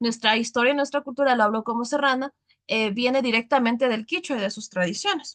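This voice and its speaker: In a highland Ecuadorian accent, a woman speaks at a fairly quick pace with a high, bright, sharp tone, ordinary pitch variation, and a dry, close sound with no echo. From Ecuadorian highlands (Sierra). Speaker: teacher. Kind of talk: lecture.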